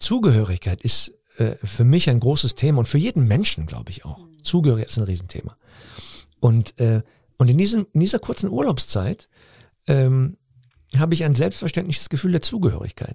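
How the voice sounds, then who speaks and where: A man's dark, mellow voice at medium pitch, somewhat breathy, with very wide pitch swings, a fairly quick pace, long and frequent pauses, and a dry, close sound with no echo. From Cologne, Germany (Nippes). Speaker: comedian and actor. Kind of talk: interview. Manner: halting.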